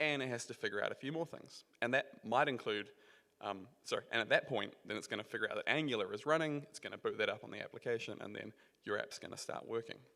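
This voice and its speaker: Very fast speech in a New Zealand accent, with big swings in loudness. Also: man. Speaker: software engineer, conference speaker. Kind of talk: conference talk. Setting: stage with audience. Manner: casual, filler-heavy (um).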